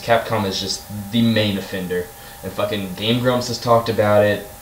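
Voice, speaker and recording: With noticeable background noise and audible room echo, a man talks at a fairly quick pace in a fairly low pitch. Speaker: gaming YouTuber. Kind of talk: rant. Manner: fast; animated.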